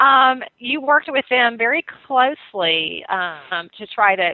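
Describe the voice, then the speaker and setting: A woman with a Southern US accent speaks at a fairly high pitch, her voice swinging very widely up and down. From US South, North Carolina. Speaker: radio host. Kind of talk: talk radio.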